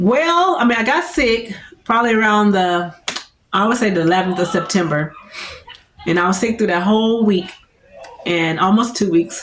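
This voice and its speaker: A woman speaks with lively, animated intonation and very even loudness, leaving long, frequent pauses. Audible room echo surrounds her voice. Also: medium pitch for a woman, moderate pace. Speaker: lifestyle vlogger. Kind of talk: casual vlog chat.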